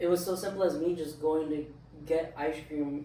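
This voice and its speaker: A man's fairly high, monotone, flat voice with audible room echo and noticeable background noise. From Southern California, Orange County (Anaheim). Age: 20s. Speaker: studio owner and clothing brand founder. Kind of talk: casual chat. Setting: in-person recording at a studio. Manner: casual, filler-heavy.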